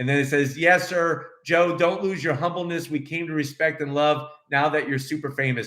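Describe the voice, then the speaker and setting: Someone speaks in an animated tone with a New York accent. The pace is moderate, with hardly any pauses. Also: man, fairly high pitch for a man. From Brooklyn, New York. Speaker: car reviewer, YouTube host. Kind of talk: live Q&A chat. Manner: animated, loud.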